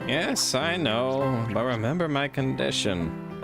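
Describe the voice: A man's nasal, put-on character voice at a medium pitch and fairly slow pace, over loud music in the background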